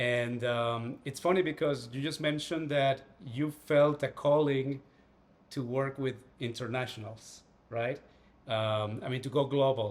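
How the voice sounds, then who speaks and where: A man speaks at a fairly slow pace with a Spanish accent. His medium pitch follows a fairly even intonation. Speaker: writer and astral projection teacher. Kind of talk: casual interview chat.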